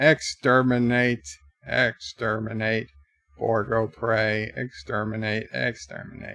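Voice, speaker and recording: In a put-on character voice that sounds robotic, a man talks at a medium pitch and a fairly slow pace. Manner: harsh, repetitive, menacing.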